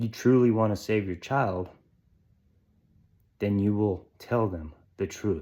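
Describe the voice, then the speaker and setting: The dark, mellow voice moves at a very slow pace with ordinary pitch variation and long, frequent pauses, on a very clean recording with a silent background. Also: man, fairly low pitch for a man. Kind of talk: sermon-style monologue. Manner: emphatic.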